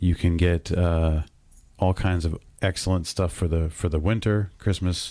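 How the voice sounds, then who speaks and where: Over a very clean recording with a silent background, a man with an American accent speaks fairly slowly at a very deep, low pitch, his tone dark and mellow, his intonation monotone and flat, and his loudness very even. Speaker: podcast co-host. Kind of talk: sponsor read.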